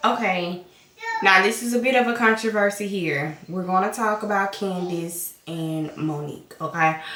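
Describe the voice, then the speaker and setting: A woman with a Southern US accent in an animated tone, at a moderate pace with ordinary pitch variation, amid noticeable background noise and audible room echo. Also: medium pitch for a woman. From US South. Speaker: vlogger, stay-at-home mom. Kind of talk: casual chat.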